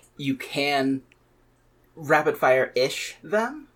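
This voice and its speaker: Heard on a very clean recording with a silent background, a man with a plain, everyday voice speaks at a fairly high pitch with lively intonation. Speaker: podcast co-host. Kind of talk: casual chat.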